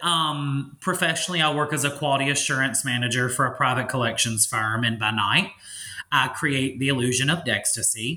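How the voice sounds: A man talks at a moderate pace and a medium pitch, with ordinary pitch variation. His tone is bright and sharp, and room echo is audible.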